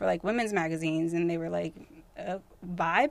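Fairly low in pitch, a woman talks at a very fast pace with a West Coast American accent. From Northern California (Tracy, near Stockton). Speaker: music journalist and magazine founder. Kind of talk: casual chat.

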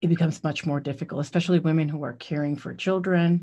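A woman speaks with a very deep, low pitch, somewhat breathy, in fairly even intonation. The recording is very clean with a silent background. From Puerto Rico. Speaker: nonprofit executive director. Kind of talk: radio interview.

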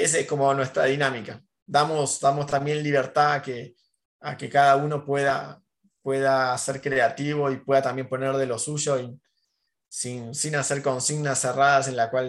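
This man speaks at fairly high pitch with an Argentine accent. His intonation is monotone and flat at a moderate pace. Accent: Rioplatense Argentine Spanish. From Argentina, Mar del Plata. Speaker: cartoonist and muralist. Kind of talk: casual interview.

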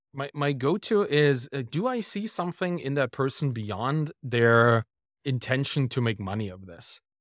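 Delivered in a German accent, the speech has a fairly slow pace and lively intonation. The recording is very clean with a silent background and a dry, close sound with no echo. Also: man, medium pitch for a man. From Germany. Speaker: writer and podcaster. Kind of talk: casual interview.

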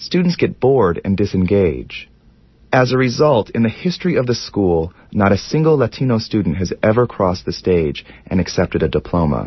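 A somewhat breathy man at a fairly low pitch talks at a moderate pace, his pitch swinging very widely while his loudness stays very even. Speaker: documentary narrator. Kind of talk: scripted narration.

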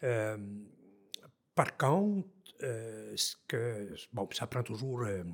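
At a very slow pace, a man with a medium pitch talks in a somewhat breathy voice. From Haute-Gatineau, Quebec. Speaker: forestry engineer, former mayor. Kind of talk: casual interview.

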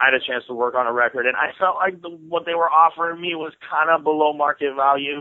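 An unremarkable speaking voice with an American accent, at a fairly quick pace with hardly any pauses. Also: man. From Seattle, Washington, US. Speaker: rapper. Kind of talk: casual interview.

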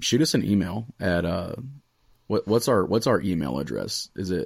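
With a normal speaking voice and ordinary pitch variation, a man is heard in a very clean recording with a silent background. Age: 20s. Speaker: podcast host and student pastor. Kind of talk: casual chat.

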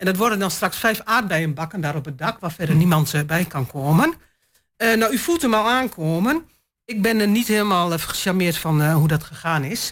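A woman with a plain, everyday voice speaks at a medium pitch and moderate pace with lively intonation on a very clean recording with a silent background. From eastern Netherlands, Twente. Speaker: local councillor. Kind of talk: panel discussion.

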